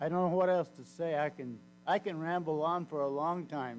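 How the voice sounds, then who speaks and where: A man at a moderate pace with ordinary pitch variation, music in the background. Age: 80s+. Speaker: public commenter, retired mailman. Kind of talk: public comment at council meeting. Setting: city council meeting.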